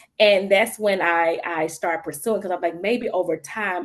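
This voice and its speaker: A woman speaks at a moderate pace with a Mississippi accent. Her pitch is medium. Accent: Mississippi Southern. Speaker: social worker. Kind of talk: panel discussion. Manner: casual, halting.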